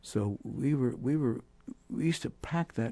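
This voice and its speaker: The man's voice has a dark, mellow tone. His delivery is fairly slow. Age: 80s+. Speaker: jazz saxophonist and clarinetist. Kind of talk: interview. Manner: halting.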